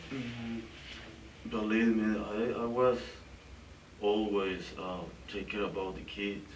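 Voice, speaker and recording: Amid audible room echo, a man speaks at a very slow pace with a fairly low pitch and a monotone, flat intonation. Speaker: suspect being interrogated. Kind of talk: police interrogation. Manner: halting.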